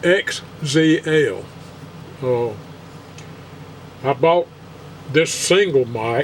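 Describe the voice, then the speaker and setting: A man's fairly high voice at a very slow pace, with ordinary pitch variation, long, frequent pauses and noticeable background noise. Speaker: guitar player. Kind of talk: casual talk to camera.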